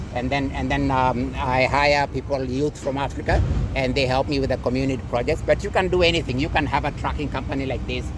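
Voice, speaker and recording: With a Kenyan accent, a man speaks very fast with hardly any pauses, amid noticeable background noise and audible room echo. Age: 60s. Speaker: vlogger. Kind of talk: casual chat. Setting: outdoors. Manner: halting.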